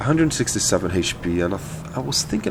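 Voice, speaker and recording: A man with a non-native accent at a fairly quick pace, over noticeable background noise. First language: not English. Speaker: gaming video creator. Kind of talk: gameplay commentary tutorial. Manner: casual, many hesitations and repeated words.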